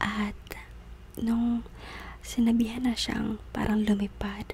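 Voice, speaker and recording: A soft-spoken voice at a very slow pace amid noticeable background noise. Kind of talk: ASMR soft spoken.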